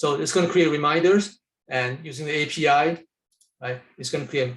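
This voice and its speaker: Somewhat breathy, a man speaks at a fairly high pitch with fairly even intonation. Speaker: software architect demonstrating his tool. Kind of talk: live software demo. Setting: webinar. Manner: fast.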